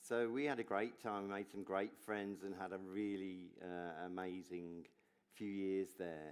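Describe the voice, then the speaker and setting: The speaker has an English accent and a fairly slow pace. Intonation stays fairly even. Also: man, very deep, low pitch for a man. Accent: English accent, noticeable. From English Midlands. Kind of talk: onstage interview, personal testimony. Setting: stage with audience at gala dinner.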